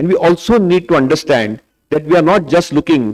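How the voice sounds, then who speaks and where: The speech moves at a fairly quick pace, with a dry, close sound and no echo. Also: man. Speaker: diabetes doctor. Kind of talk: conference debate talk. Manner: fast.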